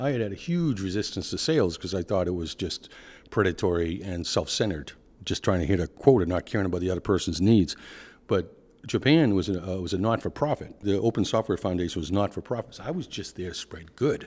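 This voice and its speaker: Very fast speech in an American accent carries lively intonation over a silent background in a very clean recording. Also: man, very deep, low pitch for a man. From Boston, US Northeast. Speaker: product executive at energy data company. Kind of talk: casual interview conversation.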